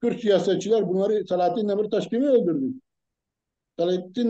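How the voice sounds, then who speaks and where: A man talks at a fairly quick pace. His tone is dark and mellow, with ordinary pitch variation. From Kurdish region of Turkey. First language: Kurdish (speaking Turkish). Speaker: political commentator. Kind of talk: heated debate. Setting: live broadcast. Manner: animated.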